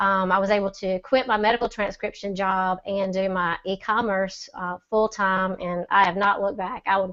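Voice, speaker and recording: This woman talks in a Southern US accent at a medium pitch. Her intonation is monotone and flat, with a quiet background. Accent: Southern drawl. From Mississippi. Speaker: e-commerce seller. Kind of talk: testimony. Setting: video call.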